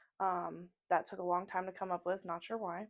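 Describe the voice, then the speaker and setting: The recording is very clean against a silent background. In it, a woman talks at a fairly quick pace. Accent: American. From US Midwest (southern Indiana). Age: 20s. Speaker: tattoo artist. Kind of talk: casual chat. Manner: hesitant, many fillers.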